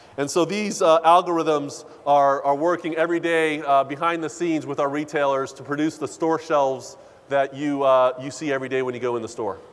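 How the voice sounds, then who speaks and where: A man speaks at a fairly quick pace with a fairly high pitch and fairly even intonation. Noticeable background noise runs under the recording. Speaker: corporate data executive. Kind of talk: keynote speech. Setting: conference stage with audience. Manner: many filler uhs.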